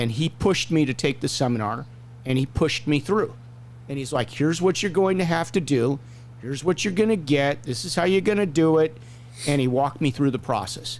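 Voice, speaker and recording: In a normal speaking voice, a man talks at a fairly quick pace, fairly high in pitch, with lively intonation. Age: 60s. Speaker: hockey referee and show host. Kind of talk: casual chat.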